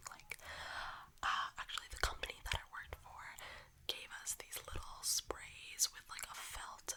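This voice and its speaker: Over noticeable background noise, a whisper unfolds at a fairly slow speed. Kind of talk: ASMR reading to camera. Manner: whispered, soft-spoken.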